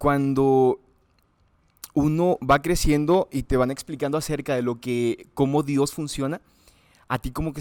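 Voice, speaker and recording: A man speaks at a fairly high pitch with fairly even intonation. The recording is very clean and dry, with a silent background and no echo. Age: 20s. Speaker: student, interview guest. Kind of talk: testimony interview. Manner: halting, with fillers.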